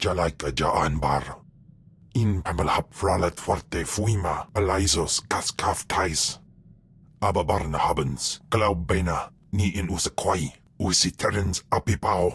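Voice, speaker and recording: Delivered at a moderate pace, the put-on character voice holds a very even loudness in a very clean recording with a silent background. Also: man, very deep, low pitch for a man. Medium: video game. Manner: speaks only an alien language.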